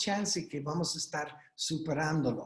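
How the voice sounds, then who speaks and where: Audible room echo surrounds a man with an American accent who talks at a fairly slow pace with ordinary pitch variation. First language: English (speaking Spanish). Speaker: doctor speaking at a legal webinar. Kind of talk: webinar presentation. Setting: online video conference. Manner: halting, with fillers and repeats.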